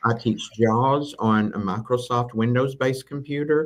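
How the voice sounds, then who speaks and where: In a Southern US accent, the speaker goes at a fairly slow pace with ordinary pitch variation. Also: man. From Tennessee, US South. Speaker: assistive technology instructor. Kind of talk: live interview.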